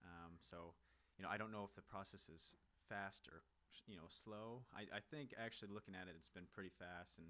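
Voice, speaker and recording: A man with an American accent talks at a fairly quick pace in a bright, sharp tone. His pitch is fairly low, with ordinary variation. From US Midwest, Kansas City. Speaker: professional footballer. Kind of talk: interview.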